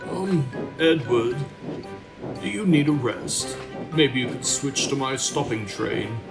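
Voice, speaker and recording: A man's put-on character voice, medium in pitch and fairly slow, with clear music in the background. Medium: audio drama.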